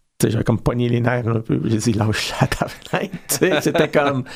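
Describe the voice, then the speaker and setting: A man speaks at a very fast pace in a medium pitch, with noticeable background noise behind him. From Belgian Congo, Belgian parents. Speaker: storyteller and actor. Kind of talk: casual interview chat. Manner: hesitant, many fillers.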